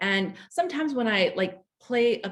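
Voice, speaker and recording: Her intonation moves in a lively way. The woman's voice is somewhat breathy. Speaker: webinar presenter, lymphedema nonprofit director. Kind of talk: educational webinar talk. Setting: online webinar. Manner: halting, stumbling over words; casual, filler-heavy.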